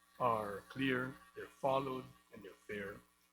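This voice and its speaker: A man is speaking. Music plays in the background. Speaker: business group representative. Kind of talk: panel speech. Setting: hybrid event with live audience. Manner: hesitant, many fillers.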